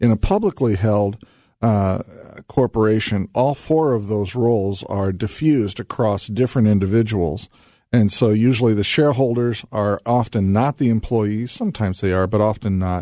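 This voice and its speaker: A man's fairly low, dark, mellow voice at a moderate pace, with ordinary pitch variation and a quiet background. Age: 50s. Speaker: business consultant. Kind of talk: radio interview.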